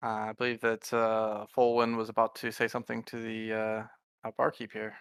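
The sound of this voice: The clip features an unforced reading voice. The background is quiet.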